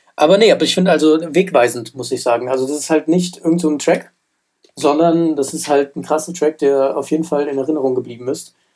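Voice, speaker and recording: A man's fairly high-pitched voice at a very fast pace, with fairly even intonation. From Germany, Frankfurt. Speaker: rap music podcast co-host. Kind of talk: casual chat.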